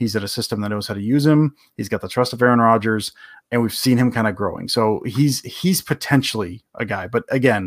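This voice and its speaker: Heard on a very clean recording with a silent background, a man uses a plain, everyday voice at a medium pitch. His pace is fairly quick and his intonation fairly even. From Detroit area, Michigan. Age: 40s. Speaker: sports writer and podcaster. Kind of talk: casual interview chat.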